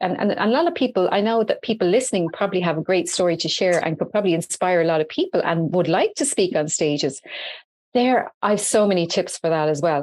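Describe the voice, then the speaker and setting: In an Irish accent, a woman of medium pitch talks at a very fast pace with lively intonation and very even loudness over a quiet background. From Ireland, Dublin. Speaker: entrepreneur and social media expert. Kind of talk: podcast interview. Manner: animated.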